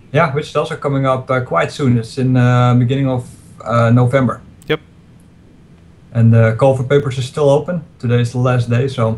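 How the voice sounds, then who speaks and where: A man, somewhat breathy, with fairly even intonation and a fairly quick pace. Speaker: remote interview guest. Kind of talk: interview answer. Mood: relaxed, friendly. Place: home room. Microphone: video call.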